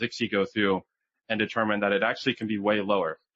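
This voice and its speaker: The speaker is a man with medium pitch. He talks at a fairly quick pace. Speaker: trade show presenter, software architect. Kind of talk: conference presentation. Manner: fast.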